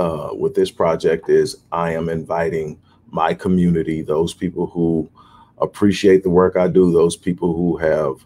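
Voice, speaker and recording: Speaking at a moderate pace, a man uses a very deep, low pitch and a dark, mellow tone with monotone, flat intonation. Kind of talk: casual talk to viewers about a book project. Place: office. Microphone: webcam.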